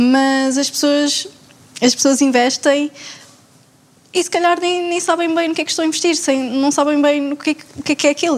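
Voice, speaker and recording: A woman speaks high, at a moderate pace with fairly even intonation. Noticeable background noise runs underneath. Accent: European Portuguese. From Portugal. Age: 20s. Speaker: finance master's student. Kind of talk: panel discussion.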